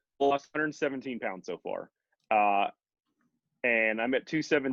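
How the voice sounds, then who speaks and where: Here a man talks with an American accent and lively intonation. His pace is moderate. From Texas. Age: 30s. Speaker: keto dieter sharing weight-loss story. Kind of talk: casual interview. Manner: halting, many restarts and fillers.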